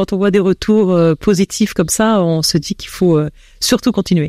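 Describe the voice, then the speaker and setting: A woman talks at a medium pitch and fairly quick pace with ordinary pitch variation and a dark, mellow tone. The recording is very clean with a silent background and a dry, close sound with no echo. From France. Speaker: association founder. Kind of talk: radio interview.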